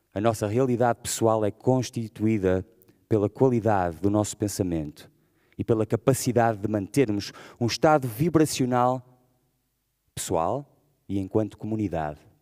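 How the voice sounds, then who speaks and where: A man with a dark, mellow tone and fairly low pitch speaks at a moderate pace with ordinary pitch variation. He leaves long, frequent pauses against a quiet background. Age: 40s. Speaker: rapper and poet; poet. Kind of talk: spoken-word manifesto. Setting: stage with audience. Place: stage. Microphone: podium.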